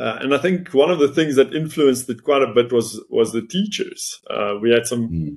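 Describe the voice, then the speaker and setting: Lively intonation from a man at medium pitch with an Afrikaans South African accent, moderate pace and hardly any pauses. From South Africa, Northern Cape. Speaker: chartered accountant and business owner. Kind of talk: interview, personal story.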